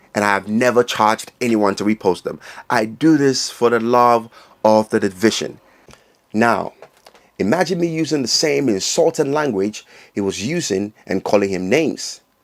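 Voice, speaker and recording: Lively in intonation, a man with a medium-pitched voice talks at a moderate pace. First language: not English. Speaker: fitness commentary channel owner. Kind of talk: opinion monologue.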